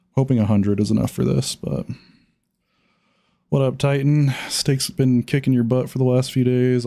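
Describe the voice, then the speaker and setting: Dark and mellow in tone, a man's medium-pitched voice moves at a moderate pace. His pitch varies in an ordinary way. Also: very even loudness. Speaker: gambling livestreamer. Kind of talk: casual livestream chat. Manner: casual with many fillers.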